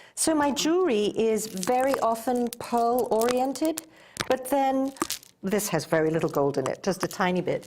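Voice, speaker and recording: A high-pitched woman's voice in an English accent, with very wide pitch swings and a moderate pace. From England. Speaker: goldsmith and spa owner. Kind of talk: interview.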